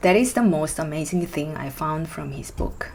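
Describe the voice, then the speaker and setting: A woman speaks with a Korean accent at a very deep, low pitch and a moderate pace. Her pitch variation is ordinary, and there is noticeable background noise. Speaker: musician and book reviewer. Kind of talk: book review vlog.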